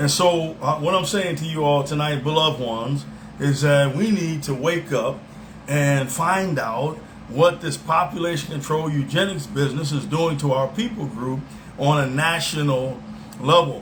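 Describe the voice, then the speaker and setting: Someone with an American accent speaks at a moderate pace with ordinary pitch variation. Noticeable background noise and audible room echo are present. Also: man, fairly high pitch for a man. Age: 60s. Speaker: self-styled preacher. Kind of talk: religious monologue. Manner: halting, many fillers and repeats.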